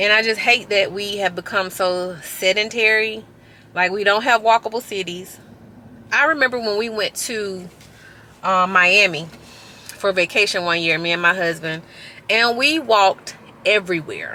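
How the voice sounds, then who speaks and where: A woman talks at a moderate pace with ordinary pitch variation. She leaves long, frequent pauses. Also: medium pitch for a woman. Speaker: fitness vlogger. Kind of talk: casual vlog talk. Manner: loud.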